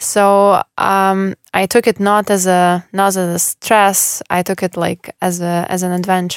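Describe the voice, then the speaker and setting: On a very clean recording with a silent background and a dry, close sound with no echo, a woman with a Russian accent speaks fairly slowly at a medium pitch, in a monotone, flat intonation with hardly any pauses. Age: 20s. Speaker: former tennis player. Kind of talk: casual interview.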